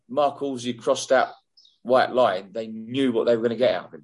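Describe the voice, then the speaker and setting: The speaker is a man with an English accent. His pitch is medium. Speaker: former football referee. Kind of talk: casual interview.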